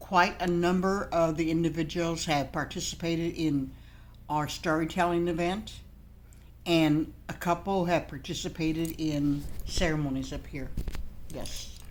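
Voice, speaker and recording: In a room with audible echo, a woman talks at a fairly slow pace in a fairly low pitch, her intonation monotone and flat. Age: 70s. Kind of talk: interview.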